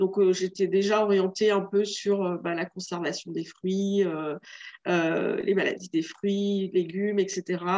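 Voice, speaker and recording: At a very slow pace, a woman speaks with hardly any pauses. Her medium-pitched voice is monotone and flat. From Réunion. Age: 40s. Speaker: entrepreneur. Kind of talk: interview.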